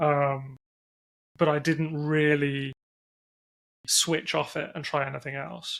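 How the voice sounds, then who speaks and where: A man with an English accent speaks in a fairly high, flat monotone at a very slow pace, with long, frequent pauses. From England. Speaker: entrepreneur, company CEO. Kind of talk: podcast interview.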